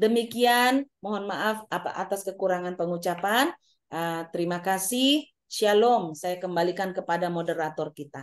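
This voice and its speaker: Against a quiet background, a woman with a medium pitch speaks at a moderate pace. Her pitch variation is ordinary. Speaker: university administrator. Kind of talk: presentation. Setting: video call. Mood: polite, formal. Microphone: video call.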